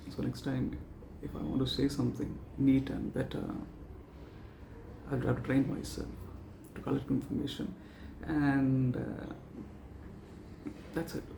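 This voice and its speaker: At a fairly slow pace with long, frequent pauses, the speech carries audible room echo over noticeable background noise. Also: man. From South India. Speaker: vlogger practising public speaking. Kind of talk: extempore speaking practice monologue. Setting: talking to camera. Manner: halting, many pauses and fillers.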